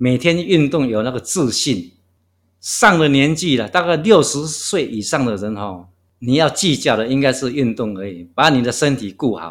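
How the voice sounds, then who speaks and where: Lively intonation marks this man's moderate-paced speech in a very clean recording with a silent background. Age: 60s. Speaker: long-distance walker. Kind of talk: interview. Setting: guesthouse room.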